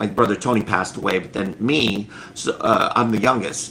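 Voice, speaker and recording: Noticeable background noise sits behind a man speaking. His voice is medium in pitch, and his pace is moderate. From US (immigrant from Cambodia as small child). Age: 50s. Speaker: children's book author. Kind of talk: interview. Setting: live stream video call.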